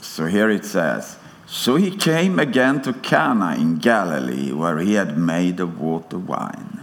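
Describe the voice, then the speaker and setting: A man with a Swedish accent speaks at a fairly slow pace in a very deep, low voice with very wide pitch swings, with audible room echo and noticeable background noise. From Sweden. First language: Swedish (speaking German). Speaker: preacher. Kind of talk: sermon. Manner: halting.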